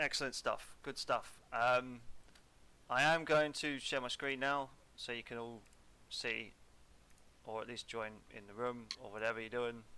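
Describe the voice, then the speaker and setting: A man speaks at a fairly slow pace with long, frequent pauses, his bright, sharp tone sitting at a medium pitch, with fairly even intonation and big swings in loudness. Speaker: wargame umpire. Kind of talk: casual game organizing chat.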